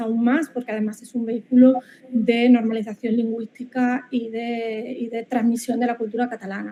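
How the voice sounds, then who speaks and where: Speaking with an Andalusian accent, a woman talks at a fairly quick pace in a fairly high, monotone, flat voice with hardly any pauses. Noticeable background noise runs underneath. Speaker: marketing professor. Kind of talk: academic webinar presentation. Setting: online video call. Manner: halting, many repetitions.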